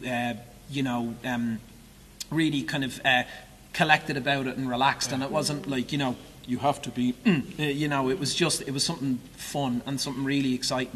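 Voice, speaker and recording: Over noticeable background noise, a man speaks at a fairly quick pace in an Irish accent with fairly even intonation. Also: medium pitch for a man. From Ireland. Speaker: musical theatre actor. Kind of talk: interview. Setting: theatre stage. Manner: halting.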